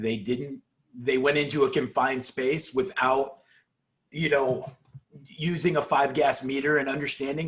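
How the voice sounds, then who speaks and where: Quiet and somewhat breathy, a man speaks at a fairly slow pace with a fairly high pitch and ordinary pitch variation. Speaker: podcast host, drilling industry worker. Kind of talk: casual chat. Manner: quieter.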